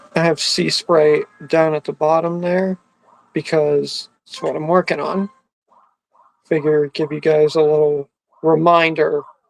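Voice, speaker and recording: A man talks fairly slowly at a fairly high pitch, with long, frequent pauses. His intonation is monotone and flat, and the sound is dry and close with no echo. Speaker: YouTuber streaming games and chatting. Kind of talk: casual live stream chat while gaming. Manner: quiet.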